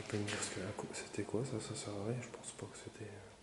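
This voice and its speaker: Soft-spoken and monotone, with flat intonation, a man talks at a moderate pace and fairly low pitch amid noticeable background noise and audible room echo. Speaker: urban explorer vlogger. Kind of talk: casual exploration vlog narration.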